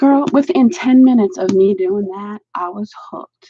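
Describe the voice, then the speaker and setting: A somewhat breathy woman with an American accent, at a fairly slow pace. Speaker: adult coloring book and art supply reviewer. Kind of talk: casual craft-along chat. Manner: chatty, informal.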